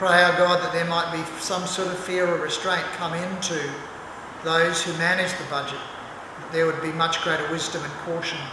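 A high-pitched man at a fairly quick pace, with audible room echo and noticeable background noise. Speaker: pastor. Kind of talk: sermon and pastoral prayer. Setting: church. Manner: earnest, fervent, solemn intercessory prayer; formal, measured, reverent. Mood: earnest, solemn. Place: church.

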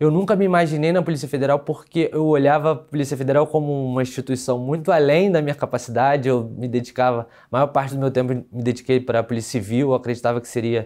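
Against a quiet background, a man at medium pitch talks at a very fast pace with ordinary pitch variation. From Brazil, Rio de Janeiro city. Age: 30s. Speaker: lawyer and police exam candidate; lawyer, candidate. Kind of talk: testimonial interview. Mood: relieved, content. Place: studio. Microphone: lapel.

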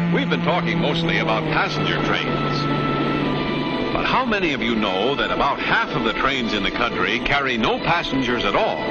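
A man talks at a moderate pace while loud music plays in the background. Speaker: newsreel narrator. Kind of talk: 1950s promotional newsreel narration. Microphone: old recording.

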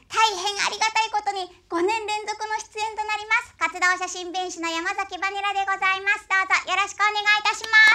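A woman with an extremely high pitch speaks at a fairly quick pace in a raised, projected voice, her intonation monotone and flat. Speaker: silent film narrator (benshi) and voice actor. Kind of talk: stage talk to audience at a film festival. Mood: polite, cheerful. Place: stage.

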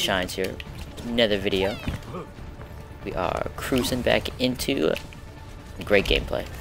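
Clear music plays behind a man speaking at a fairly slow pace. He leaves long, frequent pauses. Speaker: gamer, YouTuber. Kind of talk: casual gameplay commentary to camera. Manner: whispered, quiet. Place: home room.

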